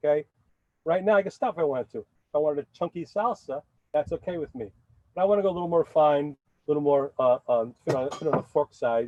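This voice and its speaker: A man with a New York accent, fairly high-pitched, lively in intonation and very fast in pace. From New York City (Bronx). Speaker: chef. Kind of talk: cooking demonstration. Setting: outdoors.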